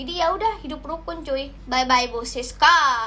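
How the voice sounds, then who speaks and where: In a raised, projected voice with a bright, sharp tone, a woman speaks at a fairly slow pace with very wide pitch swings. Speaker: gaming streamer. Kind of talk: casual gaming commentary. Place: home room.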